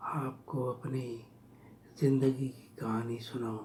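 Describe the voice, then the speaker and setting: This man speaks at a medium pitch with flat, monotone intonation. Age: 60s. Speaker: vlogger telling his life story. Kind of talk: personal storytelling.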